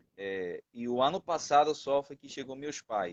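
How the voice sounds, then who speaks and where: A man's fairly high voice in a Spanish accent, with a dry, close sound and no echo. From Venezuela. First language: Spanish (speaking Portuguese). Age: 20s. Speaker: missionary. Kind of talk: testimony. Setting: live stream.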